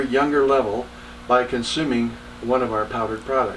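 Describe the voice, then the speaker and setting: A medium-pitched man with an American accent over noticeable background noise. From Texas. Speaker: entrepreneur. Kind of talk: podcast monologue.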